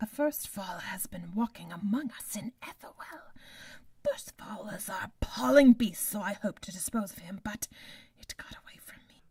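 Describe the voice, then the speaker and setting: Putting on a raspy character voice, a woman speaks at medium pitch and a moderate pace. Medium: audio drama. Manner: imperious, menacing.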